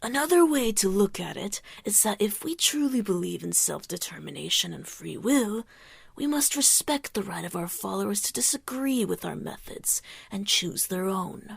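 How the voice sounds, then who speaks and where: Put-on character voice from a woman, medium in pitch, at a moderate pace. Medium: read story. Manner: commanding, measured.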